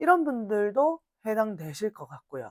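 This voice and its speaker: With a strong Gyeongsang accent, a woman speaks at a medium pitch and a very slow pace. Her pitch swings very widely. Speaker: blog instructor. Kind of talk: lecture.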